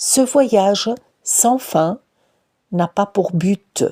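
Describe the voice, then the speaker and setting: A woman's dark, mellow tone in a dry, close sound with no echo. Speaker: researcher. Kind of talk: personal literary narration.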